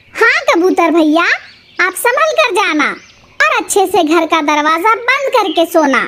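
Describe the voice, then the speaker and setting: A woman puts on a cartoonish character voice, pitched extremely high. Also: moderate pace. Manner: warm and concerned, speaks with respectful politeness.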